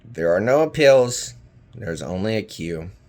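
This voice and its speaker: In a raspy, put-on character voice with a bored tone, the speaker moves at a moderate pace through very wide pitch swings. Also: man, fairly low pitch for a man. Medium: read story.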